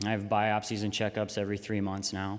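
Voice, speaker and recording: A plain, everyday voice from a man with an American accent at a fairly quick pace. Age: 20s. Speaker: patient advocate. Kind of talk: public speech.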